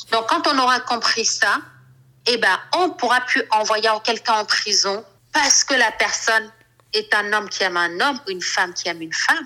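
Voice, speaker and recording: A woman speaks at a moderate pace with lively intonation. Her voice is bright and sharp, at a fairly high pitch. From Cameroon. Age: 40s. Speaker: fashion designer and LGBT activist. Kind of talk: interview.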